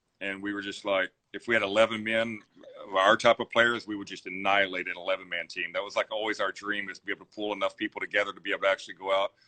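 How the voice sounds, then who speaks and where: Speaking at a very fast pace, a man with a Texan accent keeps a monotone, flat intonation. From Zephyr, Texas. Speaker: business owner. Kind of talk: interview answer.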